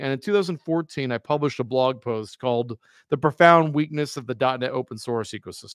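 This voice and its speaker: A man with a normal speaking voice talks at a fairly high pitch with ordinary pitch variation. The sound is dry and close with no echo, and the recording is very clean with a silent background. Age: 30s. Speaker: software company founder and open source project lead. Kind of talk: live-streamed retrospective presentation. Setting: live video stream.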